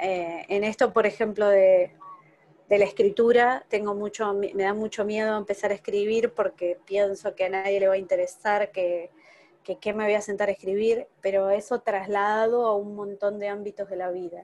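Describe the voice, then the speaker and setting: A woman speaks at medium pitch and a moderate pace in a monotone, flat intonation. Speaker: workshop participant. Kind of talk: personal sharing in workshop. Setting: video call without camera.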